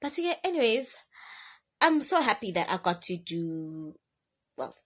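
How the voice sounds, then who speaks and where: A somewhat breathy woman with lively intonation, at a moderate pace. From South Africa, Durban. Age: 20s. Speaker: car salesperson and vlogger. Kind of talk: casual talking-head vlog. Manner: rambling.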